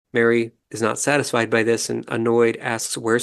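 The speaker is a man with a medium pitch. He talks at a moderate pace. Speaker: podcast host, communication professor. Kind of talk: solo commentary recap of a TV episode. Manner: calm.

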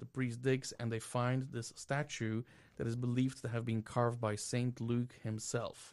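In a Belgian accent, a man speaks at a moderate pace and medium pitch with monotone, flat intonation. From Belgium. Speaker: regular contributor. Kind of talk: casual discussion.

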